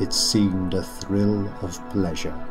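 A man talks at a very slow pace. Behind him, music is playing. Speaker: voice actor. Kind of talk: poetry reading.

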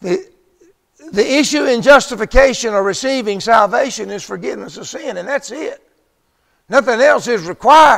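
This man speaks at a moderate pace in an extremely high pitch, his loudness swinging widely. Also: quiet background. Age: 70s. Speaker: preacher. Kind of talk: sermon. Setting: church. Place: church.

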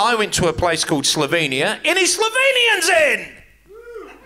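A man with a New Zealand accent, animated in tone, at a fairly slow pace over light background noise. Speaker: comedian. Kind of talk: stand-up comedy. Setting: stage with audience. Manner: crude, bantering with audience. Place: stage. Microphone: handheld.

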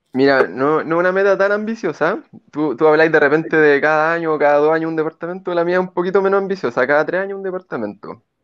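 In a Chilean accent, a man with a fairly high pitch talks very fast with ordinary pitch variation over a quiet background. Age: 30s. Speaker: mountain guide and investor; mountain guide. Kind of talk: testimony. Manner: halting, many repetitions and fillers. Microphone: earbuds.

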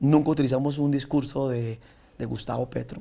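Moving at a fairly quick pace, a man speaks in a medium pitch with a dark, mellow tone and monotone, flat intonation. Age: 30s. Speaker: senator and trova singer; senator. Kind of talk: interview. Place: studio. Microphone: lapel.

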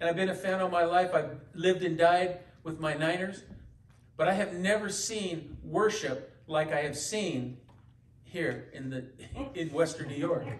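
Over noticeable background noise, a man with an American accent speaks at a high pitch and a fairly slow pace. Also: ordinary pitch variation. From US West Coast, San Francisco Bay Area. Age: 60s. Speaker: pastor. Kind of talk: sermon. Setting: church. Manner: halting, many fillers and repetitions.

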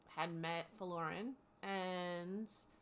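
A woman's fairly low voice with a bright, sharp tone and fairly even intonation. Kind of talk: storytelling narration. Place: home room.

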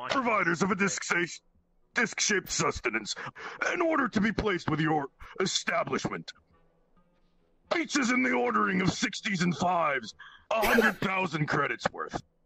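High-pitched put-on character voice from a man, moderate in pace. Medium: actual play. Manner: stilted, formal, mechanical phrasing.

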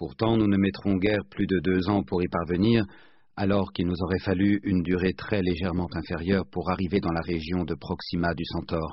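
Speaking at a moderate pace, the man has a very deep, low pitch. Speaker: audiobook narrator. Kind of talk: literary audiobook narration, read aloud from a novel. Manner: measured, steady narrator's pace with clear formal diction.

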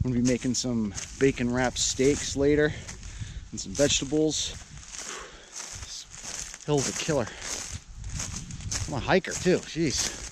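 Over noticeable background noise, a man talks at a moderate pace with long, frequent pauses, and the sound is dry with no echo. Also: ordinary pitch variation. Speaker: vlogger. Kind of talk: casual vlog chat. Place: forest. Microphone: phone near.

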